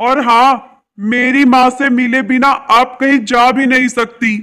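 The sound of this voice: This put-on character voice moves at a fairly slow pace with little pitch movement. Its tone is bright and sharp, clear and smooth. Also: man, extremely high pitch for a man.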